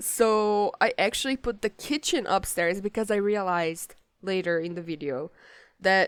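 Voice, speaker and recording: Woman with a Portuguese accent at medium pitch and moderate pace, with ordinary pitch variation and a dry, close sound with no echo. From Brazil. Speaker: gaming YouTuber. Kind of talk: gameplay commentary. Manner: casual, hesitant with many fillers.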